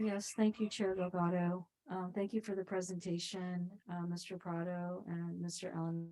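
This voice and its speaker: A soft-spoken woman with a dark, mellow tone, medium pitch and monotone, flat intonation, at a moderate pace. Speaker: planning commissioner. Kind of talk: public meeting discussion. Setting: council chambers, hybrid meeting.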